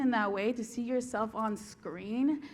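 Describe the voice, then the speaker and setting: A woman is speaking. Audible echo from the room surrounds her voice. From Southern California, Norwalk near LA. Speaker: TV series creator and writer. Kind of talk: conference stage interview. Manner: animated.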